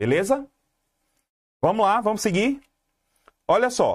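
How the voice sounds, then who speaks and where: A man speaks in an animated tone. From Brazil, Pernambuco (Garanhuns area). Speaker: exam-prep teacher. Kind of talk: live online class. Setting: YouTube livestream.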